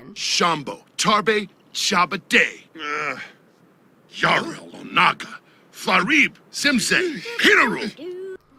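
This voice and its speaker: Shouting, a man does a put-on character voice at a high pitch. His pace is very slow. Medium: machinima. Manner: angry, shouting.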